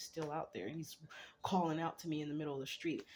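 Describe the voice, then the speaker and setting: Her pitch sits very deep and low for a woman. This woman keeps her intonation fairly even. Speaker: vlogger. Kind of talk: casual monologue. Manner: fast.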